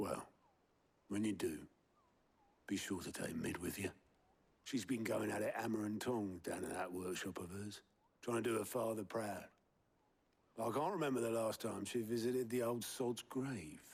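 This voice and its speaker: A put-on character voice from a man, raspy and medium-pitched, at a moderate pace with long, frequent pauses. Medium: short film. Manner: colloquial, dropped grammar.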